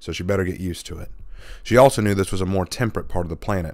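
Simply plain reading aloud

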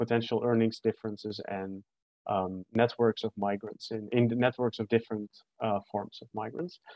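A man speaks in a monotone with flat intonation. The sound is dry with no echo, and the background is quiet. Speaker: presenter. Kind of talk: academic presentation. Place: home room. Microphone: webcam.

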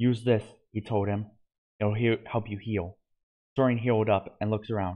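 Reading aloud in a natural voice with fairly even intonation, over a quiet background.

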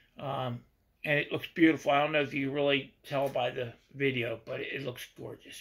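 The speaker has an American accent. He is a man who talks at a fairly slow pace. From Pennsylvania, USA. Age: 60s. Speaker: hobby model car builder. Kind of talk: casual talk to camera. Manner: casual, halting. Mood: relaxed, self-deprecating. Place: workshop. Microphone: phone near.

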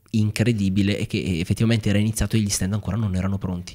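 In an ordinary speaking voice, a man talks with fairly low pitch and fairly even intonation against a quiet background. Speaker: podcaster. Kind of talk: interview question. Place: studio. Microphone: studio mic.

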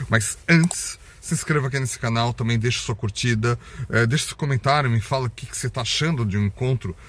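Talking at a very fast pace, a man is recorded with a dry sound and no echo. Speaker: collector vlogger. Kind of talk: casual vlog chat. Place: car. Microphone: phone near.

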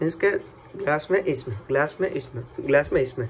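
A man at a fairly slow pace, light background noise behind him. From Rajkot, Gujarat, India. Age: young. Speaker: footballer and vlogger. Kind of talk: casual vlog talk to camera. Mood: hushed, playful in kitchen.

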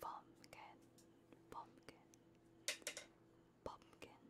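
A woman whispers very slowly while noticeable background noise carries on around her. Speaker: ASMR streamer / VTuber. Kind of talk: casual livestream chatter. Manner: playful, friendly, chatty.

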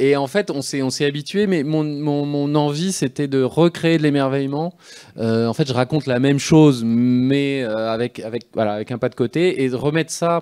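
Over a quiet background, a man with a dark, mellow tone and fairly high pitch talks at a moderate pace with ordinary pitch variation. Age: 40s. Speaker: comic book author. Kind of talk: live interview on stage. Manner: halting, many hesitations and repetitions. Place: stage. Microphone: handheld.

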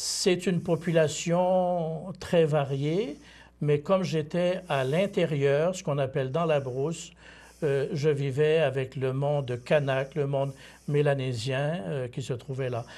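Very slow and somewhat breathy, a man's dark, mellow voice sits at a fairly high pitch with ordinary pitch variation. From Quebec, Bas-Saint-Laurent (Témiscouata); Quebec. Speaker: seminarian, former missionary; priest or missionary guest. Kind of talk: interview. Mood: calm, reflective. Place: studio. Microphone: lapel.

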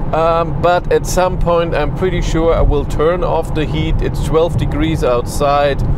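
With noticeable background noise, the fairly slow speech has a dry sound with no echo. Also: man. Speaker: car reviewer driving. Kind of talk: casual vlog chat. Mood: relaxed, lightly amused. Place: car.

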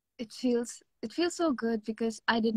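A woman speaks with a fairly high pitch. Her voice is somewhat breathy. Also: quiet background, dry sound with no echo. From India, Mumbai (born Kerala); Mumbai. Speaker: K-pop singer; interviewee. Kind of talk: interview. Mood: cheerful, friendly. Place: home room. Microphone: video call.

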